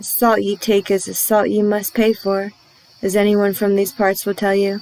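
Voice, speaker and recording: Using a put-on character voice, a woman drawls at a moderate pace and medium pitch with monotone, flat intonation. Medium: read story. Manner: folksy, drawling dialect.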